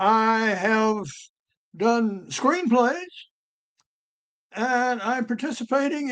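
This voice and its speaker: Speaking in a Southern US accent, a man has an extremely high pitch and a bright, sharp tone. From US South, Georgia. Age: 80s+. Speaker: author and retired geologist. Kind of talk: interview.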